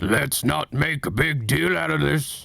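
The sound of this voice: A man's put-on character voice at a medium pitch, fairly slow in pace, with very wide pitch swings.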